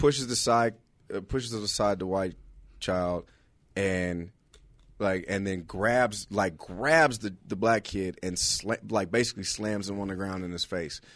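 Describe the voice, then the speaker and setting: A plain, everyday voice with an American accent speaks at a fairly slow pace with ordinary pitch variation over a quiet background. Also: man, fairly low pitch for a man. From Los Angeles, California. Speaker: stand-up comedian. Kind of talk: casual chat.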